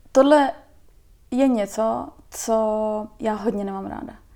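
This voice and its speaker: In a very clean recording with a silent background, a woman with a fairly high voice speaks very slowly with fairly even intonation. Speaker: visual activist and illustrator. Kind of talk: casual chat.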